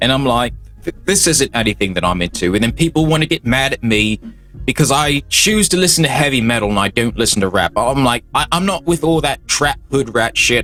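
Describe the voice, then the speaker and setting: Music plays behind a man of medium pitch who talks at a fairly quick pace with lively intonation and very even loudness. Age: 20s. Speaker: commentary vlogger. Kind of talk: casual commentary rant. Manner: halting, many repeated words and fillers; animated.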